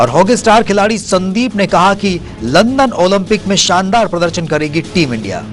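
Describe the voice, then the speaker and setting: This man speaks high for his sex, with lively intonation and hardly any pauses. Music plays in the background. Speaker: news anchor, sports bulletin reader. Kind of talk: TV news bulletin read.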